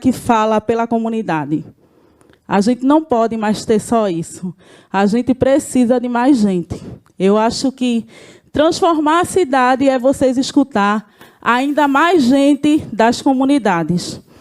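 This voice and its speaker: The speech moves at a fairly slow pace, with lively intonation. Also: woman, high pitch for a woman. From Brazil, Recife (Pernambuco). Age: 40s. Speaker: community leader. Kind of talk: panel presentation.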